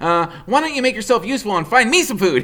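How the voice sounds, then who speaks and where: This put-on character voice moves at a very fast pace. Light background noise sits behind it. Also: man, high pitch for a man. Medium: read story. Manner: growling, sly.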